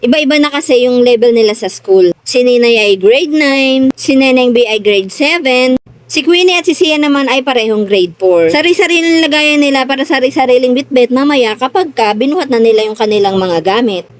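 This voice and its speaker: A high-pitched woman's voice with lively intonation, fairly quick and with hardly any pauses, over noticeable background noise. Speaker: vlogger. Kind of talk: casual vlog narration. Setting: shopping trip. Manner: stern-sounding when talking.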